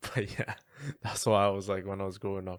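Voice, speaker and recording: A man speaks with a strong Welsh accent. His pitch is fairly low. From Wales. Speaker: podcast co-host. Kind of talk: casual chat.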